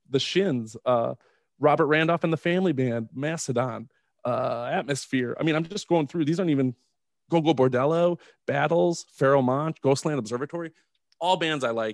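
A plain, everyday voice from a man, fairly high in pitch and fairly quick, with ordinary pitch variation and a dry, close sound with no echo. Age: 30s. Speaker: podcast host, father. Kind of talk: casual interview.

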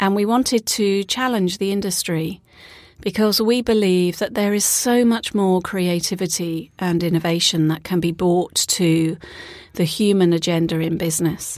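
The speaker has a British accent. The loudness stays very even throughout. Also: woman, medium pitch for a woman, ordinary pitch variation, moderate pace. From UK. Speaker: author and facilitator. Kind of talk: casual interview. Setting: studio. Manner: calm, relaxed.

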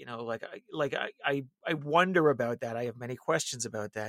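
In a dry, close sound with no echo, a man with an unremarkable speaking voice talks at a medium pitch with ordinary pitch variation. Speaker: political strategist. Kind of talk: casual chat.

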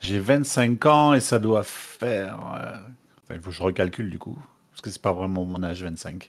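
Speaking in a normal speaking voice, a man talks at a fairly slow pace with a fairly low pitch, ordinary pitch variation and big swings in loudness. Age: 20s. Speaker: gamer interview guest. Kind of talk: interview.

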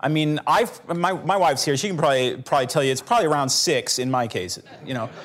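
Speech races at a very fast pace with lively intonation. Noticeable background noise is present. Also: man, fairly high pitch for a man. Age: 40s. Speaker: litigator. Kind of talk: panel discussion.

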